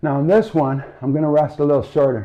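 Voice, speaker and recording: A man speaks at a fairly quick pace with a fairly high pitch. He has an ordinary speaking voice. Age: 60s. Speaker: strength coach. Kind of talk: follow-along workout instruction.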